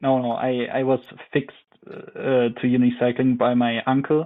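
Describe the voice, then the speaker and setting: A man with a German accent speaks at a medium pitch. His intonation stays flat and monotone. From Germany, Ore Mountains (Saxony). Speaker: professional biathlete. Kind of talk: interview. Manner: halting.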